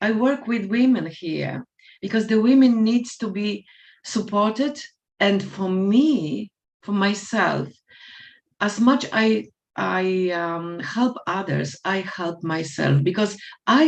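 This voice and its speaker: With a non-native accent and lively intonation, a woman talks at a very slow pace in a medium pitch. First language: not English. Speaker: life coach. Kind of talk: panel discussion. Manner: halting.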